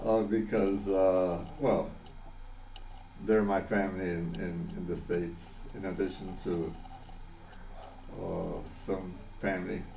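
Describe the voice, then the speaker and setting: A man with a Spanish accent talks at a very slow pace in a very deep, low pitch, leaving long, frequent pauses. His intonation stays fairly even, and audible room echo surrounds him. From Panama. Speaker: vlogger. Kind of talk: personal video message. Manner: halting, many fillers and repetitions.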